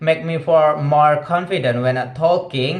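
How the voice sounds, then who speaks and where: An Indonesian accent amid noticeable background noise and audible room echo. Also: man. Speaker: vlogger practicing English. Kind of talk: casual monologue vlog. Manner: halting, many fillers.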